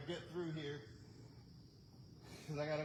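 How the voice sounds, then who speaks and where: A man's fairly even intonation, with noticeable background noise and audible room echo. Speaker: firewood seller and video host. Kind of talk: live stream casual talk while working. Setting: outdoors at a wood pile. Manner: loud. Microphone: no microphone, camera mic; microphone battery died.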